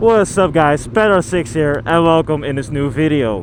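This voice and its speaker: A man with very wide pitch swings over noticeable background noise. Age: young. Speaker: motovlogger, construction worker. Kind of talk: casual vlog monologue. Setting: riding a motorcycle outdoors. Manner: halting, many fillers.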